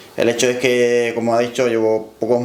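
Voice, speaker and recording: With a Cuban accent, a man speaks at a medium pitch amid noticeable background noise and audible room echo. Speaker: powerlifter. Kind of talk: interview.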